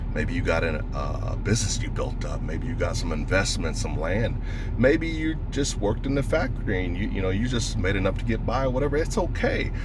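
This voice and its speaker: A man talks fairly quickly with hardly any pauses, amid noticeable background noise and audible room echo. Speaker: stonemason and dog breeder vlogger. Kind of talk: casual monologue vlog. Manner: fast.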